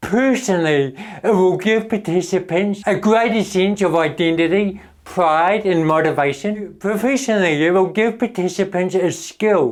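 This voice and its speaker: Pitched high, a man speaks at a moderate pace with hardly any pauses. His pitch variation is ordinary. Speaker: motivational speaker. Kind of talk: motivational talk.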